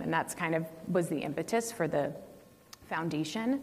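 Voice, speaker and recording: A woman's lively intonation at a moderate pace. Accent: American. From Northern California. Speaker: racing foundation founder; panelist. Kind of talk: panel talk. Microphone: lapel.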